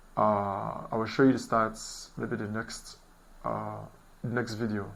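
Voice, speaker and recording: Audible room echo hangs around a man's fairly low voice as he speaks at a fairly slow pace with fairly even intonation. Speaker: SEO beginner, channel host. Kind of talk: screen-share tutorial vlog. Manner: halting, with fillers and repeats.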